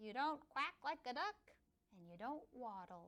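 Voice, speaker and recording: A woman puts on a character voice, high-pitched and raised, projecting at a fairly slow pace. Her pitch swings very widely. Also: big swings in loudness. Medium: read story.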